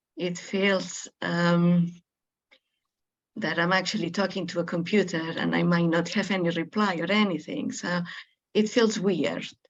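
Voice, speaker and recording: Speaking with a Spanish accent, a woman uses a fairly low pitch and fairly even intonation. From Spain. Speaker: webinar participant. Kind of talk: group introduction in webinar. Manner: hesitant, many fillers.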